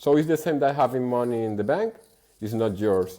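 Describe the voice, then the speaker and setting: A man with a Spanish accent, medium in pitch, with a dark, mellow tone and ordinary pitch variation. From Venezuela. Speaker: bitcoin merchant-adoption advocate. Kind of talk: podcast interview. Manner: halting, many repetitions.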